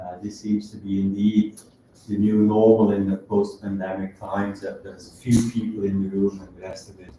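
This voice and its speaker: Speaking at a moderate pace with monotone, flat intonation, a man with a fairly low pitch shows big swings in loudness. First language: not English. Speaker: professor. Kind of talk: lecture. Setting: lecture hall with audience, also streamed. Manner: halting.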